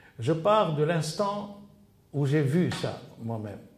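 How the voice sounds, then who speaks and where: In a room with audible echo, a man speaks in a fairly high voice with lively intonation. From Tunisia. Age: 70s. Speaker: archive researcher and witness. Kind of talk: interview testimony. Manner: halting, many hesitations and repetitions.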